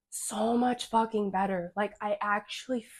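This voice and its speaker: A woman's fairly high-pitched voice with fairly even intonation, recorded dry and close with no echo. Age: 20s. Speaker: fitness vlogger. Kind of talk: casual chat. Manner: casual, filler-heavy.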